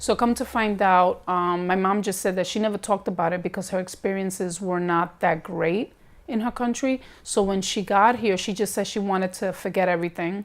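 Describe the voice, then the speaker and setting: A woman with a New York accent speaks at a fairly quick pace with hardly any pauses, medium pitch and fairly even intonation, on a very clean recording with a silent background. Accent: New York American English. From New York, Bronx. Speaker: documentary interviewee. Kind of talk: interview testimony.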